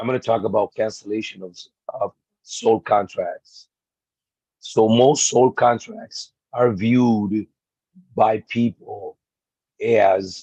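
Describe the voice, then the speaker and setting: Through a dry, close sound with no echo, a man speaks at a very slow pace with long, frequent pauses. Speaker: spiritual teacher. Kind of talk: video monologue. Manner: halting.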